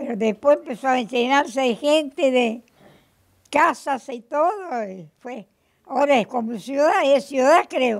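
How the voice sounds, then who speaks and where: Fairly slow delivery with lively intonation and big swings in loudness over a quiet background. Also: woman, high pitch for a woman. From Argentina, Córdoba province (Tránsito); Córdoba province, Argentina. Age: 80s+. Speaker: centenarian resident; interviewee. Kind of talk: interview. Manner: halting. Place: home room. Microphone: handheld.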